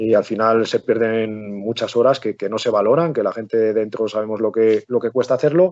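Someone with an unremarkable speaking voice talks at a fairly quick pace with fairly even intonation. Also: man. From Spain, Palencia (Castile and León). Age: 40s. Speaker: football coach. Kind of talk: interview.

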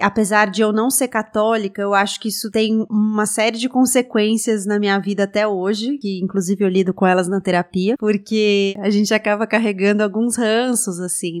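This woman talks at a moderate pace in a medium pitch, her intonation fairly even and her speech hardly pausing. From Brazil, São Paulo. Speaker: journalist and radio/podcast host. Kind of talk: interview conversation. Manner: talkative.

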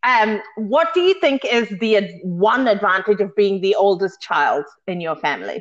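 A woman in a New Zealand accent at medium pitch, with lively intonation, a moderate pace and hardly any pauses. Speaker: podcast co-host. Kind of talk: casual chat.

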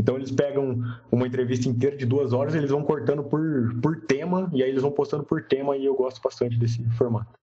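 Using fairly even intonation, a man of medium pitch talks at a very fast pace. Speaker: travel podcaster, hitchhiking traveler. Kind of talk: casual interview chat.

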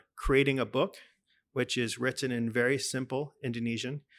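In a Texan accent, a man speaks at a moderate pace and medium pitch on a very clean recording with a silent background. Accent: Texan American English. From Texas, Dallas. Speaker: pastor and lecturer. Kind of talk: interview.

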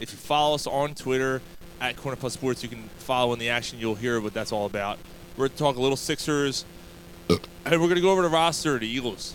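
The speech comes at a very fast pace with ordinary pitch variation, and there is noticeable background noise. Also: man, medium pitch for a man. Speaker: podcast host. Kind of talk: casual sports chat.

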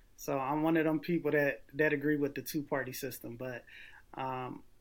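On a very clean recording with a silent background, a man with an ordinary speaking voice talks at a moderate pace, his pitch fairly high and his intonation fairly even. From US Northeast, Philadelphia. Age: 40s. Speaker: political candidate and military veteran. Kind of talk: interview.

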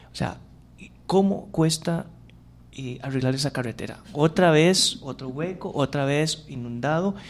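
In an unremarkable speaking voice, a man with a fairly high pitch talks fairly slowly with ordinary pitch variation. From Costa Rica, Curridabat. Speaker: radio host. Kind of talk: radio interview.

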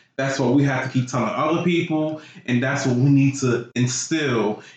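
Over audible room echo, a man speaks at a moderate pace with a fairly high pitch. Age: 30s. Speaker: podcast guest. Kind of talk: casual chat.

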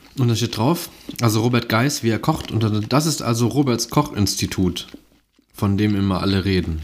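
This man has an ordinary speaking voice. It sits at a medium pitch and varies in an ordinary way. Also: moderate pace. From Mönchengladbach, western Germany. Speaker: podcast host. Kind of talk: casual chat.

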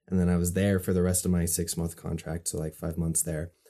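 Relaxed and dark, mellow in tone, a man speaks at a fairly quick pace with a very deep, low pitch. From Utah, USA. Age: 20s. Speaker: artist and photographer. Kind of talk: casual chat. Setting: remote call.

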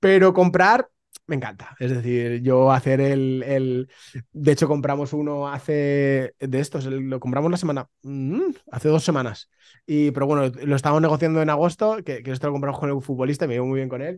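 The man's voice sits fairly high in pitch. He speaks at a moderate pace with ordinary pitch variation. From Spain, Valencia. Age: 30s. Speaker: real estate investor. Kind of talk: casual interview. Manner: halting, repeats words.

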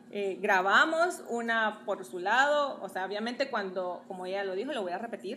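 A woman speaks at a moderate pace with a bright, sharp tone, a fairly high pitch and lively intonation. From Guatemala. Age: 30s. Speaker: model and social media influencer. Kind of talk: casual chat. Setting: at her home, also live on TikTok.

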